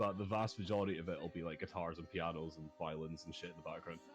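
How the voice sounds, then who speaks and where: With music in the background, a man with a Scottish accent speaks using ordinary pitch variation. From Scotland. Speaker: musician and streamer. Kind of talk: casual interview. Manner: loud.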